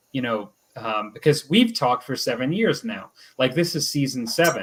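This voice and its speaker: A man speaks in an ordinary speaking voice. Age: 50s. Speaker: podcast co-host. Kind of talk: casual chat. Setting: live stream.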